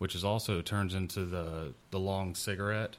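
With a Southern US accent, a man speaks in a very deep, low voice that varies in pitch in an ordinary way. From South Mississippi. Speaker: podcast co-host. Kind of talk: casual chat.

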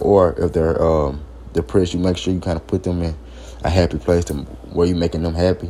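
A man's very deep, low voice with a dark, mellow tone, vocal fry and ordinary pitch variation. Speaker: podcast host. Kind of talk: informal solo talk. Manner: halting.

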